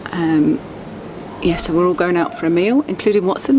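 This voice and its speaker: Soft-spoken and at a medium pitch, a woman talks over noticeable background noise. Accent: English. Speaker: beauty vlogger. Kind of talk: casual chat. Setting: outdoors.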